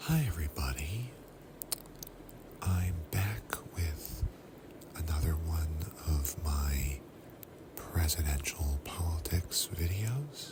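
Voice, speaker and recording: Whispering at a very slow pace, broken by long, frequent pauses, with music in the background. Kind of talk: ASMR history talk to camera. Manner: whispered.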